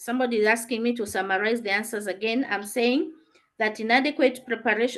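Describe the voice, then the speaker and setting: High-pitched woman's voice at a fairly quick pace. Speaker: teacher. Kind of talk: online class lesson.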